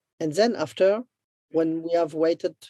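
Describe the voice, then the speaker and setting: Speech at a moderate pace in a French accent. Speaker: business development entrepreneur. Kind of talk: interview. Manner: halting.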